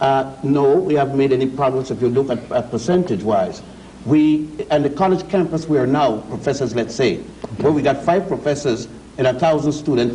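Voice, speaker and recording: The speech moves at a fairly quick pace. There is audible room echo along with noticeable background noise. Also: man, fairly high pitch for a man, ordinary pitch variation. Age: 60s. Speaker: scholar of African history. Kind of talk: TV panel discussion. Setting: TV studio.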